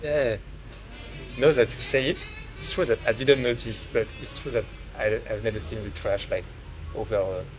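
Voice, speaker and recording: Long, frequent pauses from a man at a moderate pace, with music in the background. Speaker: software developer and podcast host. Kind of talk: podcast interview questions.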